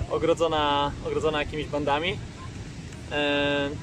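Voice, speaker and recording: A man speaks in a flat, monotone way. The sound is dry with no echo, and background noise is noticeable. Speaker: volleyball coach. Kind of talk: casual vlog chat. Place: beach. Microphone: phone near.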